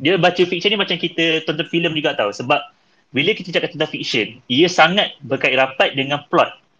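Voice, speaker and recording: With a normal speaking voice, a man talks at a fairly quick pace, his fairly high pitch showing ordinary pitch variation. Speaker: podcast host. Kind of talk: casual chat.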